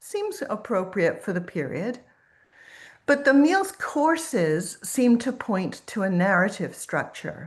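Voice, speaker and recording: In a room with audible echo, a woman speaks at a fairly high pitch, somewhat breathy, with very wide pitch swings. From Quebec. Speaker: professor and food historian. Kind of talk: lecture.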